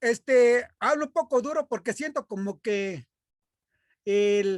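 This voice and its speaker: The recording is very clean, with a silent background. The speech unfolds at a very slow pace. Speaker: math teacher. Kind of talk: lecture. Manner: loud.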